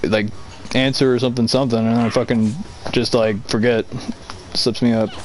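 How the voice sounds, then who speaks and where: A man at a medium pitch, talking at a fairly quick pace in a monotone, flat way, with noticeable background noise. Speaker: gamer friend on stream. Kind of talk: casual chat. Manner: stutters, halting.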